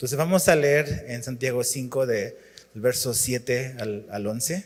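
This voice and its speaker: A man's voice at medium pitch and moderate pace. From Chile. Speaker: pastor. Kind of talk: sermon.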